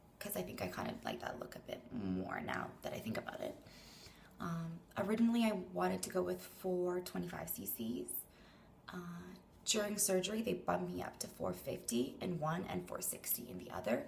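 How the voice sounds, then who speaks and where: Noticeable background noise and audible room echo around a woman at a moderate pace. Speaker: vlogger. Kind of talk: casual vlog update. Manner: chatty.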